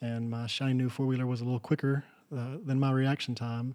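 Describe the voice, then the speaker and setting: The voice carries a West Texas accent. The recording is very clean, with a silent background. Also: man. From Texas Panhandle. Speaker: rancher and furniture maker. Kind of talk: interview. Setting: in person. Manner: halting, many fillers.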